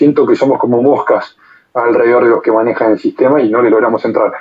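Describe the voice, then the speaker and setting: A man is speaking. His pace is very fast. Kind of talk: casual discussion. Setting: online audio room.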